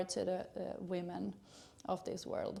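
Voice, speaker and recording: A woman with a Swedish accent speaks at a fairly slow pace in a dark, mellow tone at a medium pitch. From Sweden. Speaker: gynecologist. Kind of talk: educational channel introduction. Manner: hesitant, many filler sounds.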